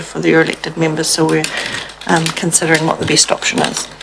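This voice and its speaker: A woman's voice with noticeable background noise. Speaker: council staff officer. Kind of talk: meeting report answer. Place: meeting room. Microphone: podium.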